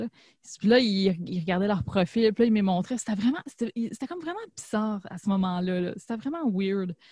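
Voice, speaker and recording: In a Quebec accent, a somewhat breathy woman speaks at a moderate pace with ordinary pitch variation, in a dry, close sound with no echo. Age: 30s. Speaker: podcast host. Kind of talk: casual chat.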